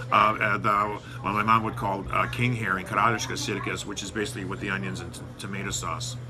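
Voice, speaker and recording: Through audible room echo and noticeable background noise, a man speaks at a very fast pace with a fairly low pitch. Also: ordinary pitch variation, big swings in loudness. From United States, Lithuanian-American community. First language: Lithuanian. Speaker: news site editor. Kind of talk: interview. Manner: halting, many fillers.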